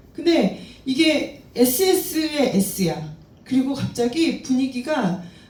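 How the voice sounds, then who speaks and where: With audible room echo, a woman talks at a very slow pace in a high pitch that swings very widely. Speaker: crypto trading instructor. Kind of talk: lecture.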